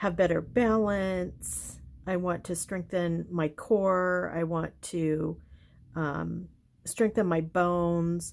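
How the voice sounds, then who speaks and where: This woman speaks very slowly, her pitch fairly low and her intonation fairly even. The recording is very clean, with a silent background. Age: 60s. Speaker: lifestyle vlogger. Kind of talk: casual journaling vlog. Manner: halting, many fillers.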